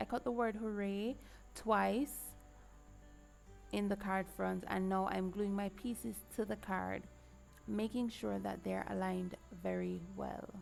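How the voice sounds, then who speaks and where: A woman at a fairly slow pace with long, frequent pauses, music in the background. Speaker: card maker. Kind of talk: craft tutorial talk to camera.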